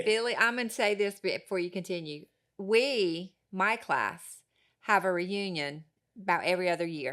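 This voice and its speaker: In a very clean recording with a silent background, a woman with a plain, everyday voice talks at a moderate pace, medium in pitch with ordinary pitch variation. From Harkers Island, Down East North Carolina. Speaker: podcast host. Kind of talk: casual chat.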